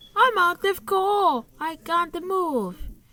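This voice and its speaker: The pitch here is extremely high. It comes from a woman doing a put-on character voice. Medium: read story.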